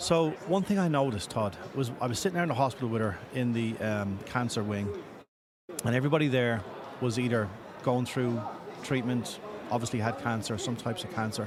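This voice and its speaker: Audible room echo surrounds a man speaking at a fairly quick pace in an Irish accent. His pitch sits in the medium range. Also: lively intonation. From Ireland. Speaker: patient assistance organization leader. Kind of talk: podcast interview.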